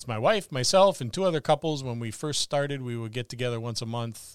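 A man talks at a medium pitch and a fairly quick pace, in an unremarkable speaking voice. The recording is very clean with a silent background. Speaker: podcast host. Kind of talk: casual chat. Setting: Facebook live video stream.

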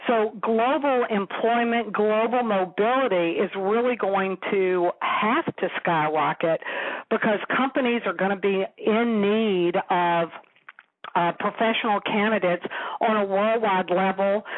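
Using an American accent, a woman speaks at a fairly slow pace in a medium pitch with ordinary pitch variation. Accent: Southern US, can put it on. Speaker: company founder and author. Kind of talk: radio interview.

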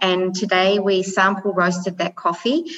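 A woman with a New Zealand accent speaks at a medium pitch. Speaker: coffee business founder. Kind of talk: interview.

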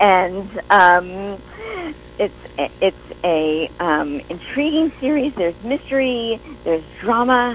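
Speaking at a very slow pace, a woman with a New York accent uses a medium pitch that swings very widely. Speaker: writer, actor and director. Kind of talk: casual interview chat.

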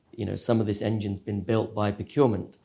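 On a very clean recording with a silent background, a man speaks in a fairly low pitch with a dark, mellow tone. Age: 40s. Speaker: cybersecurity company founder. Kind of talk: interview.

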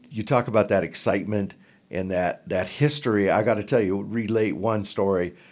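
In a very clean recording with a silent background, a man with an American accent speaks at a moderate pace. He has an unremarkable speaking voice, fairly low in pitch with ordinary pitch variation. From southern Oregon, Klamath Falls. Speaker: basketball podcaster. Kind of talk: casual interview. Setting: conference room.

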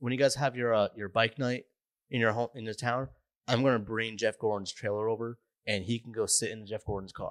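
Fairly quick, fairly even intonation from a man at medium pitch, an ordinary speaking voice, dry and close with no echo, very clean recording over a silent background. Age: 30s. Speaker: podcast co-host. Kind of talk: casual chat.

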